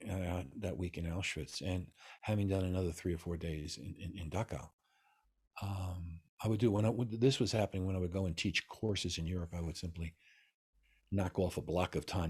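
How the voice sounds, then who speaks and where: Someone with a New York accent talks at a fairly quick clip, sounding somewhat breathy, with ordinary pitch variation. The recording is very clean, with a silent background. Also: man. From US Northeast, New York City. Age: 70s. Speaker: Taoist master. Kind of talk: interview. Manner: animated.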